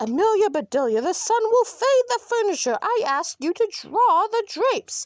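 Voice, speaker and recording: In a put-on character voice, a woman speaks at an extremely high pitch with very wide pitch swings, a moderate pace, hardly any pauses and a dry, close sound with no echo. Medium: read story. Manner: flustered, exclamatory.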